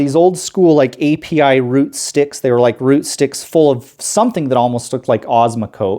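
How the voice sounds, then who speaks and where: A fairly high-pitched man with a dark, mellow tone and lively intonation, at a moderate pace with hardly any pauses and very even loudness, on a very clean recording with a silent background. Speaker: aquarium hobbyist youtuber. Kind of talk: casual tutorial vlog. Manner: talkative, informal.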